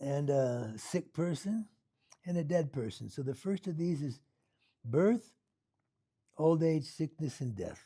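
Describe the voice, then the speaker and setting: Using lively intonation, a man with an American accent has a fairly high, somewhat breathy voice with a dark, mellow tone. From US Pacific Northwest, Seattle. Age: 70s. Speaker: Buddhist meditation teacher. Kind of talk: dharma talk. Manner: casual, halting with repetitions.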